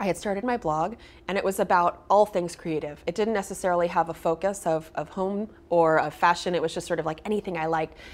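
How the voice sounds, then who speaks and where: With an American accent, a woman talks at a very fast pace, her fairly low pitch kept to fairly even intonation. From US West Coast, Berkeley, California. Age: 30s. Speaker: designer and author. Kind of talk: interview.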